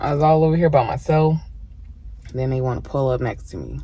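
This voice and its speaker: The voice is soft-spoken and moves at a fairly quick pace. There is audible room echo. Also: woman. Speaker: mukbang vlogger. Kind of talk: casual eating vlog.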